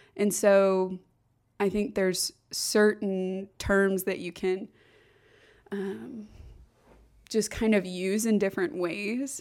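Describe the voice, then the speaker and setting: A woman with an American accent at a very slow pace and medium pitch, ordinary pitch variation, on a very clean recording with a silent background. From US Midwest, Kansas City area. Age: 20s. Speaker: podcast guest. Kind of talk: casual chat. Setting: studio. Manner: loud.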